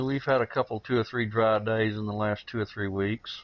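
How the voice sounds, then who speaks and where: A man with a Southern US accent. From Texas, Dallas-Fort Worth area. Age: 50s. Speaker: gamer. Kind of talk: casual interview. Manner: halting, many fillers.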